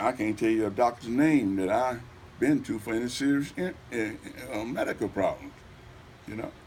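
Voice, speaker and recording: A man with a Southern US accent speaks with long, frequent pauses. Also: medium pitch for a man, ordinary pitch variation, moderate pace. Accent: US South. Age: 70s. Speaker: mayoral candidate. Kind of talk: interview.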